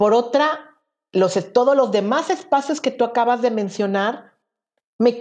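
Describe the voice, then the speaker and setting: With lively intonation, a woman with an ordinary speaking voice talks at a fairly slow pace against a quiet background. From Veracruz, Mexico. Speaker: LGBT prison rights activist. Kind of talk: interview conversation. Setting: remote recording.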